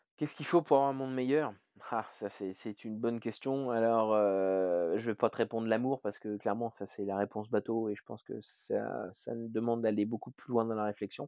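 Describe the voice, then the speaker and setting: The man speaks fairly quickly with fairly even intonation. His voice sits at a medium pitch. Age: 30s. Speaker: hospital care assistant and paternity leave campaigner. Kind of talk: interview. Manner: halting.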